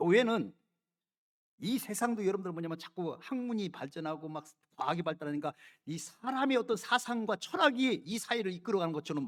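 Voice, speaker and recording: A man with a high pitch talks at a fairly quick pace, with very wide pitch swings and big swings in loudness. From South Korea. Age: 60s. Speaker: pastor. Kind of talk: sermon. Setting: church. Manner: emphatic, repetitive.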